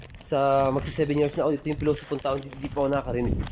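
Very fast speech against noticeable background noise. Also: man. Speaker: vlogger. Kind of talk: casual vlog talk to camera.

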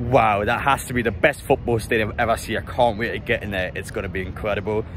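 Fairly quick speech from a man, with a dry sound with no echo and light background noise. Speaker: football fan vlogger. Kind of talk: casual vlog chat. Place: stadium. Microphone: phone near.

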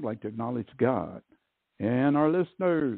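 A man speaks at medium pitch in an ordinary speaking voice. His intonation is lively and his pace moderate. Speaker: radio program host. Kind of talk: podcast intro.

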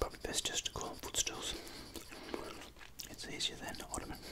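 Someone whispers quietly at a fairly quick pace against loud background noise. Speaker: drawing tutor. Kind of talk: casual drawing tutorial chat. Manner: quiet ASMR whisper while colouring. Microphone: phone near.

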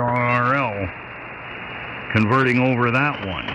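Noticeable background noise accompanies a man talking at a moderate pace with a Maine accent. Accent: Down East Maine. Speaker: ham radio operator. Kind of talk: casual radio chat. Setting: shortwave radio transmission. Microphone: two way radio.

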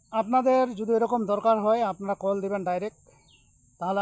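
High male voice showing ordinary pitch variation. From Bangladesh, Thakurgaon district. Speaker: tantric healer and YouTuber. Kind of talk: tutorial.

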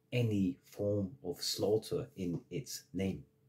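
A man's fairly low, somewhat breathy voice with lively intonation and a passionate, angry tone. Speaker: massage therapist and spiritual vlogger. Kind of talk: monologue/rant. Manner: angry, emphatic, ranting with repeated forceful phrases; passionate, blunt. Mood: earnest, impassioned about religion. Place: home room. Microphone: phone near.

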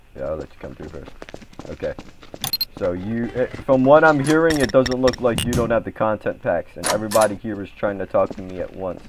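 Amid noticeable background noise, a man talks fairly quickly, his loudness swinging widely between long, frequent pauses. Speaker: gamer streaming roleplay. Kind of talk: casual gaming chat. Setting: online voice chat in game. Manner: animated, repetitive interjections; raised commanding tone. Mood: aggressive in-character outburst.

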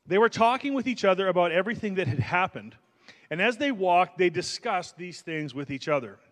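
A man is speaking. His pitch swings very widely. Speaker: pastor. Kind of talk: sermon.

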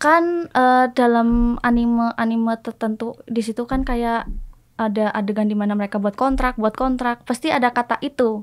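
The background is quiet as a woman talks at a moderate pace. Her fairly high voice keeps a fairly even intonation. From Indonesia, Purwokerto. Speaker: self-taught Japanese speaker, anime fan. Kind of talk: casual interview chat. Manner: halting. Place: studio. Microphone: studio mic.

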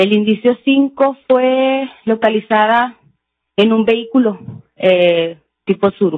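A woman speaks very slowly in a fairly high voice, her loudness very even. The sound is dry with no echo, over a quiet background. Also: ordinary pitch variation. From Mexico. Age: 20s. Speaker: forensic chemist, expert witness; witness. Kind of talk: court testimony. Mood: formal, calm. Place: hall. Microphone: podium.

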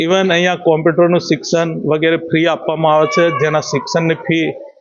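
This man's voice sits high in pitch and stays monotone, with flat intonation throughout. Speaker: retired school principal. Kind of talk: farewell interview remarks. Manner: halting.

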